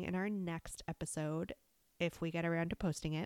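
On a very clean recording with a silent background, a woman with a normal speaking voice and fairly low pitch talks at a moderate pace. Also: dry, close sound with no echo. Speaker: podcast co-host, mom. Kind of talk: casual chat.

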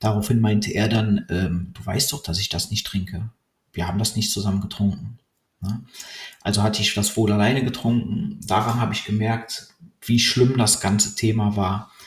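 The voice is somewhat breathy. It moves at a moderate pace with fairly even intonation. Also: man, fairly low pitch for a man. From Cologne, Germany. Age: 30s. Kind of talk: personal monologue.

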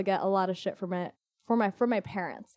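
In a Californian accent, the speaker uses a dark, mellow tone and fairly even intonation at a moderate pace, on a very clean, dry and close recording with a silent background and no echo. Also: woman. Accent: Californian American. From US West Coast, Orange County, California. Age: 20s. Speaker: fitness instructor and event organizer. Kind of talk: casual interview.

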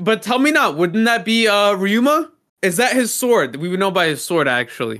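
In a very clean recording with a silent background, a man with a high, bright, sharp voice talks at a moderate pace with very wide pitch swings. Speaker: podcast co-host. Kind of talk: casual chat. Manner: animated.

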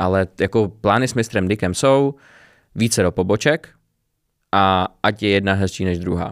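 Speaking at a moderate pace, a man with a fairly low voice shows ordinary pitch variation and takes long, frequent pauses. The recording is very clean, with a silent background. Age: 20s. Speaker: small business owner. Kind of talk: casual interview.

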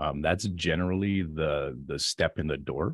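Vocal fry marks this man's very deep, low pitch, which has ordinary pitch variation over a quiet background. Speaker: marketing software creator. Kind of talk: interview about marketing tactics.

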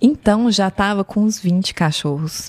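Delivered at a fairly slow pace, a plain, everyday voice moves with ordinary pitch variation. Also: woman. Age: 30s. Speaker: former fashion designer and marketer. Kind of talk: casual chat.

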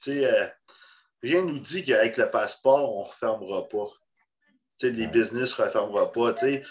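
Against a quiet background, a man takes a fairly slow pace. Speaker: podcast host, bodybuilding. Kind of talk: casual chat.

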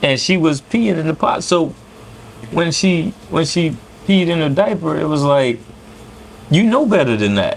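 A man talks at a moderate pace and fairly high pitch with lively intonation. He leaves long, frequent pauses over noticeable background noise. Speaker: food vlogger. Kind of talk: casual chat. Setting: restaurant.

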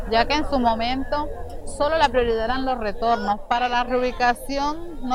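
Speech comes at a fairly slow pace, with audible room echo and noticeable background noise. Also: woman. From Colombia, Bajo Atrato (Chocó). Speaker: community leader of a victims' association. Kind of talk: testimony.

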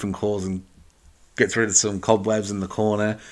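A man with an English accent talks in a fairly low, monotone, flat voice, recorded very cleanly against a silent background. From England. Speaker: podcast host. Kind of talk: solo movie review. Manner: casual, hesitant with fillers.

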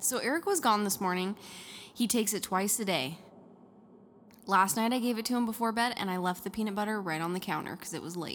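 A woman speaks very fast at a medium pitch with ordinary variation, broken by long, frequent pauses. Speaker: podcast co-host. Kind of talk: casual chat.

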